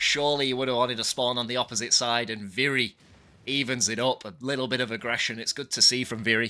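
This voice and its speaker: In a northwest English accent, a man talks at a very fast pace. His tone is bright and sharp, his intonation monotone and flat. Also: medium pitch for a man. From northwest England (Bolton, near Manchester). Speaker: esports caster and streamer. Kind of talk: live commentary. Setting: livestream.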